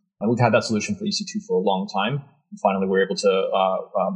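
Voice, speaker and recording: Very wide pitch swings, vocal fry, a very fast pace and hardly any pauses. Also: man. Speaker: developer advocate. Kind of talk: casual tech interview.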